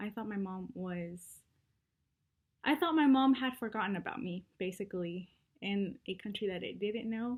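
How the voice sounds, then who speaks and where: A woman speaks at a moderate pace and medium pitch in a somewhat breathy voice, with ordinary pitch variation and long, frequent pauses. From Mexico, Guadalajara; US from age five. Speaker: student. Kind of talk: personal confession video.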